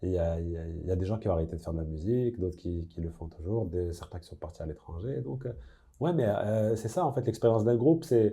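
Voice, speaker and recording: Against a quiet background, a man with a very deep, low pitch and a dark, mellow, somewhat breathy tone talks at a very fast pace, with lively intonation and big swings in loudness. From Casablanca, Morocco. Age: young. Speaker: singer-songwriter. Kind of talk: interview answer. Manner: hesitant, thoughtful.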